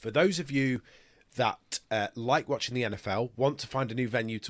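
A man with a British accent speaks at a moderate pace, his medium pitch showing ordinary variation. The sound is dry and close with no echo, on a very clean recording with a silent background. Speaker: podcast host, journalist. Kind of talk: casual sports chat.

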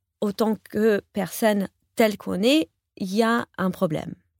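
A woman speaks with an English accent at medium pitch. The sound is dry and close, with no echo. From US, New York. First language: English (speaking French). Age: 40s. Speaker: professional coach. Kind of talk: interview conversation. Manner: halting, many repetitions.

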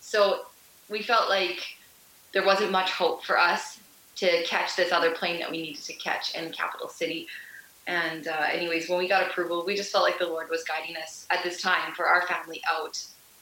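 A woman with a Canadian prairie accent and a fairly low pitch speaks at a moderate pace with fairly even intonation, amid audible room echo and noticeable background noise. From Canada, Melfort, Saskatchewan. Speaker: missionary, nurse. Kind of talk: interview testimony.

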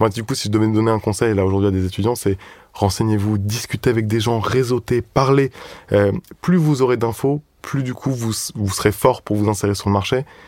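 Over a silent background in a very clean recording, a man speaks at a fairly quick pace in a medium pitch with ordinary pitch variation. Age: 20s. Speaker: recruitment consultant. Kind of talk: casual chat. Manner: halting.

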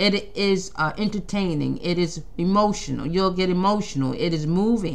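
Audible room echo surrounds a woman speaking at a medium pitch. Her pace is moderate and her pitch variation ordinary. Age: 50s. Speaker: podcast host and playwright. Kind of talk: casual monologue. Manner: halting, with frequent restarts.

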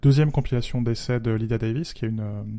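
Over a silent background in a very clean recording, a man speaks with medium pitch and a dark, mellow tone. His intonation is fairly even and his pace moderate. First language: Spanish (speaking French). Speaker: podcast co-host. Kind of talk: casual chat.

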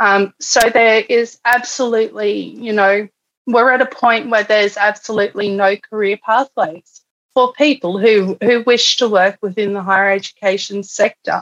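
With an Australian accent, a woman speaks at a moderate pace and fairly high pitch in a dry, close sound with no echo. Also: fairly even intonation. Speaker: political candidate and union organizer. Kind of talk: interview.

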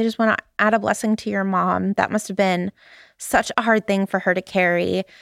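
Over a very clean recording with a silent background, a woman of medium pitch speaks at a fairly quick pace with a dry, close sound and no echo. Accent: Southern Californian. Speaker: podcast host. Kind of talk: casual chat. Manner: upspeak.

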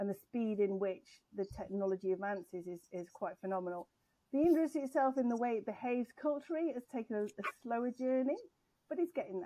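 A woman speaks very fast in an English accent, with lively intonation. Her pitch is fairly high and her tone dark and mellow. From grew up abroad as a forces child, English. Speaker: tech executive. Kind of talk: interview.

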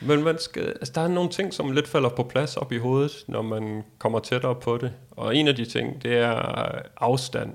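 Speaking at a fairly slow pace, this man uses an ordinary speaking voice. His pitch is medium, with ordinary variation. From Denmark. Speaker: world traveler. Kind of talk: interview.

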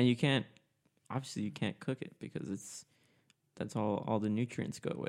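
Long, frequent pauses break up a man's moderate pace. He has a medium pitch, vocal fry and ordinary pitch variation. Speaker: podcast co-host. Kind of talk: casual chat.

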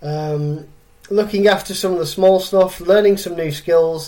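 With an English accent, a man with a high pitch and a dark, mellow tone speaks at a fairly slow pace with fairly even intonation. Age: 40s. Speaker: fitness coach and podcast host. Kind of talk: solo podcast monologue.

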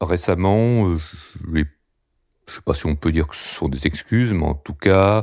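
On a very clean recording with a silent background, a man with a very deep, low pitch speaks at a fairly slow pace with long, frequent pauses. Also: ordinary pitch variation. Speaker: bank employee. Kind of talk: personal testimony.

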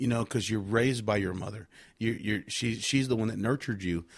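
On a very clean recording with a silent background, a man uses an ordinary speaking voice at medium pitch, with fairly even intonation and a fairly quick pace. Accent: American. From Victoria, Texas. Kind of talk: testimony.

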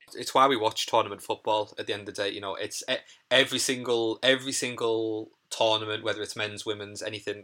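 A man with a Teesside accent, medium pitch and a bright, sharp tone, in a monotone, flat delivery at a fairly quick pace, on a very clean recording with a silent background. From northern England, Middlesbrough. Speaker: athlete, artist and activist. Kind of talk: casual chat. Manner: halting, many fillers.

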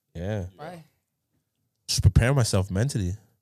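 The speaker uses an animated tone with a London accent at a fairly quick pace. The recording is very clean, with a silent background. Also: man. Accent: London multicultural English. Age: 20s. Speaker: podcast host. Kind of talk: casual chat. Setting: studio.

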